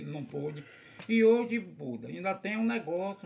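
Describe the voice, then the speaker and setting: Over noticeable background noise, a man with a high pitch talks at a fairly slow pace with ordinary pitch variation. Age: 70s. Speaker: samba de roda master. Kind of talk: casual chat. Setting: at his samba venue.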